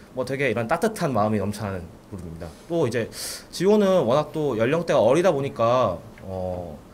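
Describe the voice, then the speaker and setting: Very wide pitch swings run through this man's fairly quick speech. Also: medium pitch for a man. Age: 20s. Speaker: football supporter group leader. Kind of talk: radio interview.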